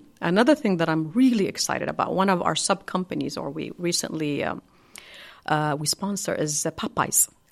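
At a fairly quick pace, a woman with an Arabic accent and a fairly low pitch speaks with ordinary pitch variation on a very clean recording with a silent background. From Saudi Arabia, Hail (northern). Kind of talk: interview. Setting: studio.

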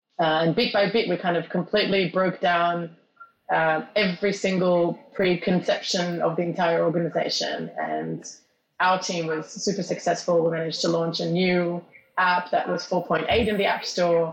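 The speech moves at a moderate pace with monotone, flat intonation. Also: woman, fairly low pitch for a woman. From Australia, moved to Israel at 12. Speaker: tech company executive. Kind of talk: interview.

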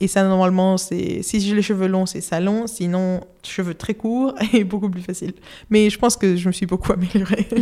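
On a very clean recording with a silent background, the dark, mellow tone of a woman. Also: medium pitch for a woman, fairly even intonation, moderate pace. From Spain, Madrid. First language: Spanish (speaking French). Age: 20s. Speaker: illustrator. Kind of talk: casual interview. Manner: halting, many hesitations.

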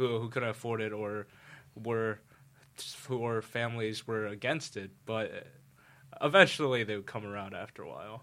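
On a very clean recording with a silent background, a man in a New York accent speaks at a moderate pace and medium pitch, his bright, sharp voice fairly even in intonation, with big swings in loudness and long, frequent pauses. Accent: New York American. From New York City. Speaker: university student. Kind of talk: casual chat.

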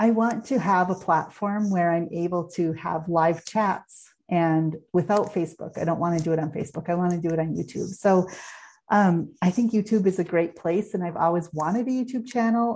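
A plain, everyday voice moves at a moderate pace with ordinary pitch variation over a quiet background. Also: woman, fairly low pitch for a woman. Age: 50s. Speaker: podcast host and human design coach. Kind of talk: solo podcast monologue.

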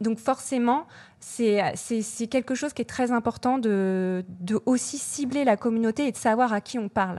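On a very clean recording with a silent background, a woman with a plain, everyday voice talks at a moderate pace and fairly high pitch. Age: 40s. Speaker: social media and influencer marketing manager. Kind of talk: interview.

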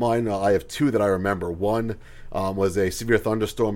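A man with an American accent speaks at a fairly low pitch, keeping his intonation fairly even. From US Northeast, Long Island, New York. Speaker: meteorologist, forecasting executive. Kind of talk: interview. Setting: studio.

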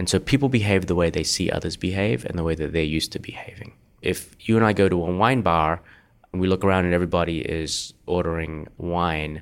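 On a very clean recording with a silent background, a man with an Australian accent and a very deep, low pitch talks at a fairly quick pace with ordinary pitch variation. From Australia, Perth. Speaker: venture capitalist. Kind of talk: interview conversation.

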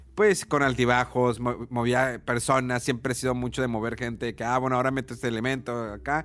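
On a very clean recording with a silent background, a man in a plain, everyday voice of medium pitch speaks at a fairly quick pace with fairly even intonation and hardly any pauses. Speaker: podcast host. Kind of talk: casual chat.

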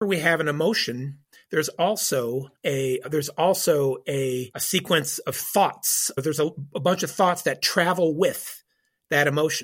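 Recorded very cleanly against a silent background, a man with an unremarkable speaking voice talks in a fairly high pitch. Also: ordinary pitch variation, moderate pace. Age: 50s. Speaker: church counselor and licensed counselor. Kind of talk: interview on faith and mental health. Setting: call.

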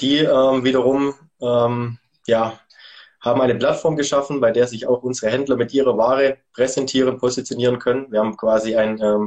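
A man's medium-pitched voice, monotone and flat in intonation, at a moderate pace. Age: 30s. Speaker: events and sponsoring manager at a sports retailer. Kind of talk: interview.

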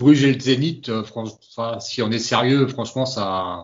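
A man talks at a moderate pace in an ordinary speaking voice with fairly even intonation. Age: 30s. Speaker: football fan. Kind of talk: casual chat.

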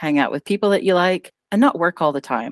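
Heard on a very clean recording with a silent background, the sound is dry and close with no echo. A woman with an unremarkable speaking voice uses a fairly low pitch and lively intonation. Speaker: podcast co-host. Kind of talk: casual chat.

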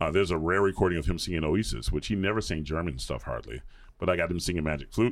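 Speaking very fast with an American accent, a man uses a very deep, low pitch with vocal fry and ordinary pitch variation. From US South, suburbs of Atlanta, Georgia. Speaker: opera singer (bass). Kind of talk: casual interview chat.

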